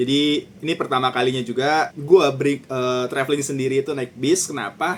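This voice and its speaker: A man speaks at a moderate pace in a fairly high pitch. His intonation stays fairly even. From Jakarta, Indonesia. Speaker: vlogger. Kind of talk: vlog narration. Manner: casual, with English code-switching.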